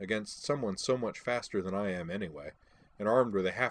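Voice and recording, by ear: Natural reading aloud with typical pitch movement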